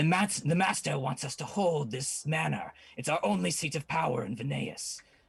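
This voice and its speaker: Putting on a character voice, a man cackles at a moderate pace in a fairly high pitch. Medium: actual play. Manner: haughty.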